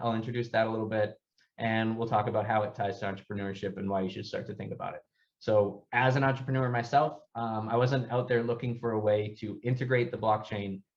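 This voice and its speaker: A man's very fast speech at a medium pitch in an American accent, with fairly even intonation and a quiet background. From US East Coast. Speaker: startup founder. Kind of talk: workshop presentation.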